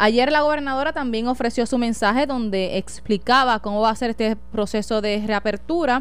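A woman with a fairly high pitch talks in a plain, everyday voice at a moderate pace, with ordinary pitch variation and hardly any pauses. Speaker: radio host and journalist. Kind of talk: radio talk show.

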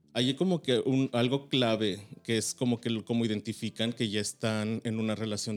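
Recorded with a dry, close sound and no echo, a man with a normal speaking voice talks at a moderate pace, keeping his medium pitch in a fairly even intonation. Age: 30s. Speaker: podcast guest. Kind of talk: casual chat.

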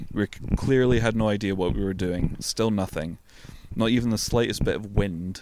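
A man's fairly low voice at a moderate pace, over noticeable background noise. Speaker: podcast co-host. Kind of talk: reading aloud. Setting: outdoors in a tent in a back garden.

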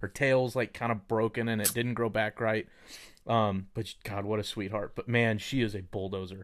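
A man with a Texas accent, fairly low-pitched and monotone with flat intonation, at a moderate pace, in a very clean recording with a silent background. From Texas, Dallas. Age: 30s. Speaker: mortgage lender. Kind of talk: casual chat.

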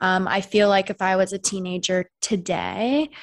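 Against a very clean recording with a silent background, a woman with an American accent speaks in a normal speaking voice at a medium pitch, the sound dry and close with no echo. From US Pacific Northwest, Seattle. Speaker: sex educator and podcast host. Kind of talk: casual interview chat.

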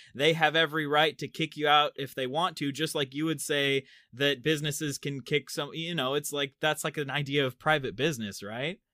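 Hardly pausing at all, a man with a normal speaking voice talks fairly quickly in a fairly high pitch with fairly even intonation. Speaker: TikTok and YouTube creator, singer. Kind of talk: casual commentary.

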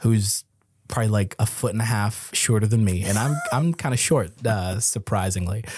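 In an American accent, a man speaks in a fairly low, somewhat breathy voice at very even loudness. The recording is very clean, with a silent background. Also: ordinary pitch variation, moderate pace. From US. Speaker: comedian and entertainer. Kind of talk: casual chat.

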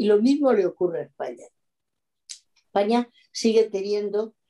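A woman with a dark, mellow tone talks at a fairly slow pace with ordinary pitch variation. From Extremadura, Spain (Mérida). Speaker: oenologist. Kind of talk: interview.

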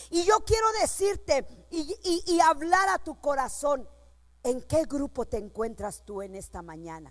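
Extremely high in pitch, a woman speaks at a fairly slow pace with an animated tone. Her pitch swings very widely. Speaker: preacher. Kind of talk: sermon. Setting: church.

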